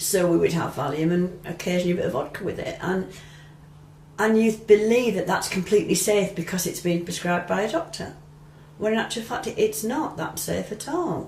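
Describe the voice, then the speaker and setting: In an English accent, a woman speaks fairly quickly at a medium pitch with ordinary pitch variation, against noticeable background noise. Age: 60s. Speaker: retired midwife. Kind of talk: interview testimony. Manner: hesitant, with many ums and restarts.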